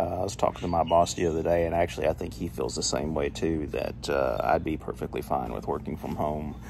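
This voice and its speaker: A man talks at a very fast pace in a very deep, low pitch with vocal fry. Light background noise is present. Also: ordinary pitch variation, hardly any pauses. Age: 40s. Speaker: YouTuber. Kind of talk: casual vlog. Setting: at home. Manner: hesitant, lots of fillers. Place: garden. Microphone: phone near.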